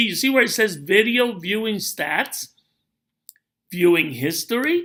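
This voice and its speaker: A bright, sharp tone carries a raised, projected voice that moves at a fairly slow pace with lively intonation. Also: man. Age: 60s. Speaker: network marketing promoter. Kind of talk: tutorial.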